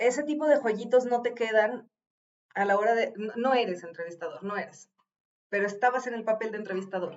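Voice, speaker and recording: Fairly quick in pace, a woman speaks with a Mexican accent. Her pitch is fairly high, with ordinary pitch variation. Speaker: video reaction commentator. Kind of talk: reaction commentary on an interview.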